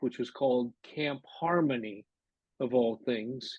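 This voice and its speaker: A man's medium-pitched voice with a Pacific Northwest accent, at a very slow pace. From Seattle, US Pacific Northwest. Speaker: internment camp survivor. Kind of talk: interview testimony. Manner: hesitant, with frequent fillers.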